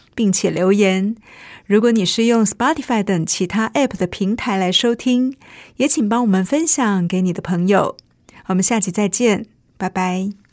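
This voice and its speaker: This is a plain, everyday voice with ordinary pitch variation. The recording is very clean, with a silent background. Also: woman, medium pitch for a woman, moderate pace. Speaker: radio host. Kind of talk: scripted narration.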